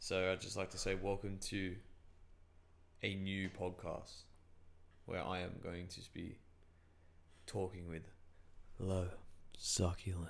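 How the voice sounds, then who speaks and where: A man's very deep, low voice in a monotone, flat delivery, fairly slow with long, frequent pauses and audible room echo. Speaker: podcast host. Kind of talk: casual chat. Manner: loud; intense.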